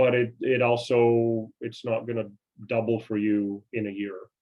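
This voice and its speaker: The speech comes at a moderate pace in a monotone, flat intonation. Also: man. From Canada. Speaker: investing seminar presenter. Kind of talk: online seminar. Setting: video call. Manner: halting, many fillers and repeats.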